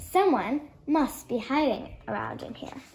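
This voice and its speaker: A woman performs a put-on character voice at a high pitch. She talks at a fairly slow pace. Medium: read story.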